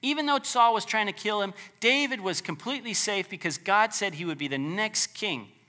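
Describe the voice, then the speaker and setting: A man with a high pitch raises and projects his voice, his tone warm and animated and his intonation lively. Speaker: preacher. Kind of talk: sermon. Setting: church. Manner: animated, forceful, preacher in full flow, urgent and pleading; conversational, warm, with light humor.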